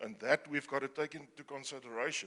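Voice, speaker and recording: Bright and sharp in tone, this man speaks at a moderate pace. His pitch is fairly high. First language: not English. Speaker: audience member, conservationist. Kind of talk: audience question at panel. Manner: halting.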